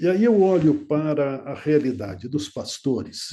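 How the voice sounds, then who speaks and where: A man talks at a very slow pace, his dark, mellow tone carried by lively intonation. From Brazil, São Paulo city. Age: 80s+. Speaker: retired pastor. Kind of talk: interview. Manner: halting.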